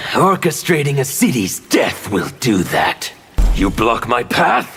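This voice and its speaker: A man does a cartoonish character voice at medium pitch. He speaks fairly slowly, with faint music in the background. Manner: intense, fanatical.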